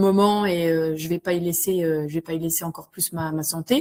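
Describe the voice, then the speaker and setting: Recorded very cleanly with a silent background, a woman talks in a monotone, flat intonation. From Vosges, eastern France. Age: 40s. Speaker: school support worker retraining as community manager. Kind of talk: interview testimony. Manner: hesitant, many fillers and repetitions.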